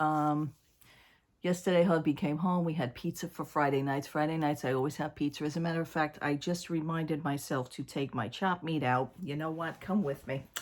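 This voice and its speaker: A quiet voice with ordinary pitch variation moves at a moderate pace in a very clean recording with a silent background. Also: woman. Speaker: vlogger. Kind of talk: casual chat. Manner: speaking quietly.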